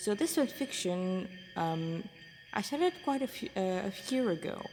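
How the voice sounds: A woman's medium-pitched voice with lively intonation at a fairly slow pace. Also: slightly mellow tone.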